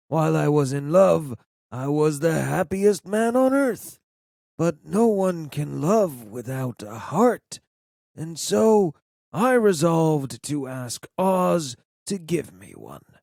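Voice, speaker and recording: A man uses a put-on character voice at a fairly high pitch with very wide pitch swings. The sound is dry and close with no echo. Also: fairly slow pace. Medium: read story.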